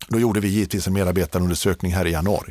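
On a very clean recording with a silent background, a man speaks in a very deep, low pitch. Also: dry, close sound with no echo. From Småland, Sweden (Hovmantorp, Kronoberg). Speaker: business executive. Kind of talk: interview. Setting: studio.

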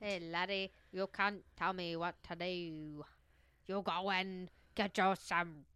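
A put-on character voice in an Irish accent, fairly slow, with monotone, flat intonation. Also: female-sounding voice, medium pitch for a woman. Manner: defiant, sassy.

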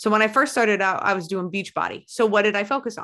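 Bright and sharp, a woman's fairly high voice comes across animated. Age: 30s. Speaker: life coach and former police officer. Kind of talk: casual conversational interview with coaching. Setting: remote recorded podcast call. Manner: animated, profane and direct.

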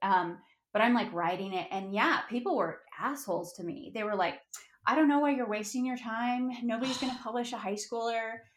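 A woman with an American accent uses a normal speaking voice, a fairly high pitch and lively intonation. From Colorado, US. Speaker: author. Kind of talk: interview.

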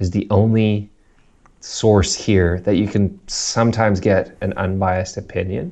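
In a North American accent, a man speaks at a fairly low pitch with monotone, flat intonation over a quiet background. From South Africa. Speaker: podcast host. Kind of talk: casual chat. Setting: video call.

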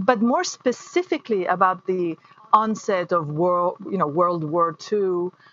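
Over noticeable background noise, a woman speaks fairly slowly in a medium pitch with ordinary pitch variation. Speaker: actress and playwright. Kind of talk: interview.

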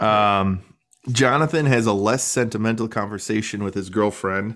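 A man with a fairly low pitch uses an unremarkable speaking voice and a moderate pace. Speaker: podcast host. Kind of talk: casual banter about a TV show. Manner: joking, playful.

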